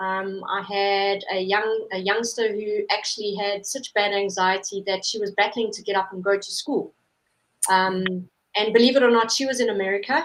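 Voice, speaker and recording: Fairly even intonation in a South African accent. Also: woman, medium pitch for a woman, moderate pace. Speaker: holistic therapist. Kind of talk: interview.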